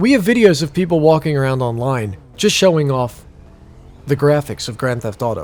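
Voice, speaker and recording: Lively intonation from a man with an ordinary speaking voice at a moderate pace. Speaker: gaming YouTuber. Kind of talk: video game commentary. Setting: at home PC with headphones on. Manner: casual, conversational.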